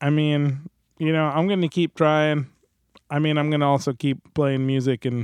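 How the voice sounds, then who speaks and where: Speaking with an American accent, a man keeps his intonation fairly even. His pace is moderate. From New Jersey. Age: 30s. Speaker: musician and recording engineer. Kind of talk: casual chat. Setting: video call.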